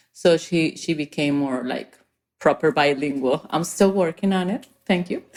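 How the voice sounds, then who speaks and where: A woman with a strong Spanish accent talks at a moderate pace and very deep, low pitch, with ordinary pitch variation. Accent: thick Spanish. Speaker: entrepreneur. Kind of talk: podcast interview.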